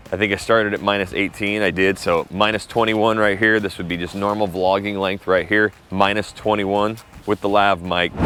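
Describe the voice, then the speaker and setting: Over noticeable background noise, a man speaks at a fairly quick pace with hardly any pauses, in a fairly low pitch and a monotone, flat intonation. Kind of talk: mic test vlog. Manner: loud.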